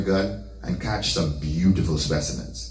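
A man talks at a fairly slow pace in a warm tone. Audible room echo surrounds his voice. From St. Lucia. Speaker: son delivering eulogy. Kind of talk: eulogy at a funeral, storytelling life tribute with scripture and prayer. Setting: church funeral service. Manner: warm, affectionate storytelling with light humor; emotional, heartfelt closing. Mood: warm, solemn storytelling. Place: home room.

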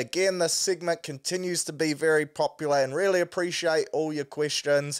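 Speaking with a New Zealand accent, a man has a high pitch. He keeps a moderate pace against a quiet background. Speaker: sports podcast host. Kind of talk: casual sports talk. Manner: animated. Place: home room. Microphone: studio mic.

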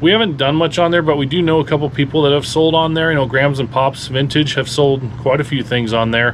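A man with an American accent talks at a very fast pace with hardly any pauses, ordinary pitch variation and very even loudness over light background noise. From US Midwest (Lincoln, Nebraska); Nebraska. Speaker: reseller, video channel host. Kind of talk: casual chat. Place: home room. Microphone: phone near.

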